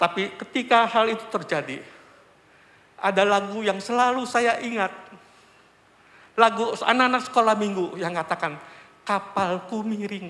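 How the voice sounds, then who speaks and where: Projecting a raised voice, a man with a high pitch speaks at a moderate pace with ordinary pitch variation and long, frequent pauses. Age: 60s. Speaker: church elder giving testimony. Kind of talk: testimony. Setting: church.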